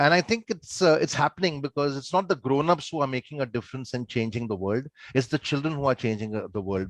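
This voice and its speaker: An ordinary speaking voice from a man at medium pitch, fairly quick in pace, with lively intonation and a dry, close sound with no echo. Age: 50s. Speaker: show host. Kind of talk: hosting a panel.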